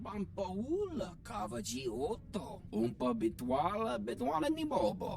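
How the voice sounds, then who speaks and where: Over clear background noise, a put-on character voice at a middle pitch moves at a fairly slow pace. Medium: video game. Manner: speaks an alien language.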